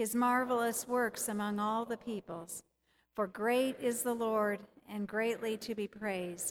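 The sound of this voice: Fairly even intonation in an unforced reading voice, set against a quiet background.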